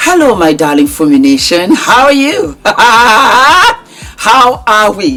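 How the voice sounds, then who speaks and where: With music in the background, a woman at a fairly high pitch talks at a very slow pace in very even loudness, with very wide pitch swings and hardly any pauses. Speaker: podcast host. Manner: warm, effusive.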